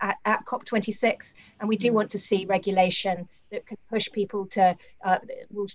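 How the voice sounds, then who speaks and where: A woman talks at a moderate pace with fairly even intonation. Her voice is somewhat breathy. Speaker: investment strategist; panelist. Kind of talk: panel discussion. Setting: video call. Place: home room. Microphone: webcam.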